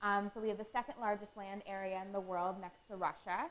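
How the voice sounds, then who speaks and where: A woman at a medium pitch. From Canada. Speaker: student presenter. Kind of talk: lecture. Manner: fast.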